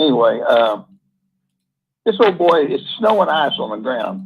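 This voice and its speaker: A man talks at a moderate pace. Vocal fry runs through his voice. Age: 70s. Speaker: caller. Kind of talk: casual storytelling on call-in show.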